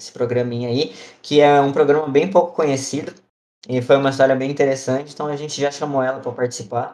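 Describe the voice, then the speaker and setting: The speech goes at a very fast pace with fairly even intonation and big swings in loudness. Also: man, fairly high pitch for a man. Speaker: podcast host, missionary trainee. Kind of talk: casual chat.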